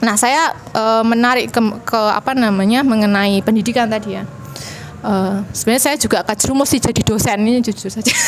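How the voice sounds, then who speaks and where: The voice moves at a fairly quick pace with fairly even intonation and very even loudness over noticeable background noise. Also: woman, fairly high pitch for a woman. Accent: strong Javanese. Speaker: university lecturer, panel speaker. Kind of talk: panel discussion talk. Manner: hesitant, many fillers.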